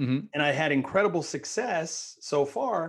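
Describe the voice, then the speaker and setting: An American accent against a quiet background. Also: man. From San Francisco Bay Area, California. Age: 40s. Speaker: real estate investor and realtor. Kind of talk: interview.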